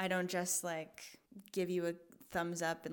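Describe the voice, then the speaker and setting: In an American accent, a woman speaks at a moderate pace. Hers is an ordinary speaking voice, fairly low-pitched for a woman. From US Pacific Northwest, Portland. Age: 20s. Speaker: operations manager and coach. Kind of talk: casual chat.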